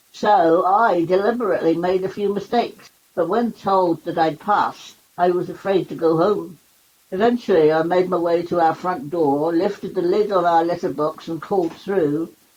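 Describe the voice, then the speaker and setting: With a Cornish accent, a woman speaks at a moderate pace in a fairly low pitch. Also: fairly even intonation. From Cornwall, England. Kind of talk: memoir reading.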